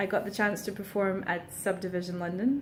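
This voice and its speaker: A woman's somewhat breathy, medium-pitched voice at a fairly quick pace, fairly even in intonation, with audible room echo. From Portugal. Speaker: singer-songwriter. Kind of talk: casual vlog monologue. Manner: frequent ums, hesitant.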